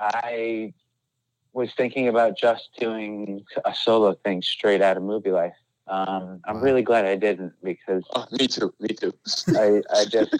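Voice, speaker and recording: Using an ordinary speaking voice, a man speaks with fairly low pitch, a fairly slow pace and fairly even intonation. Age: 40s. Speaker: rock band singer. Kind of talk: casual chat.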